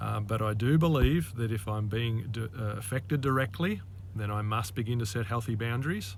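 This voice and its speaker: A man's somewhat breathy, medium-pitched voice with an Australian accent and ordinary pitch variation. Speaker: life coach. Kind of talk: monologue to camera. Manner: halting, many fillers.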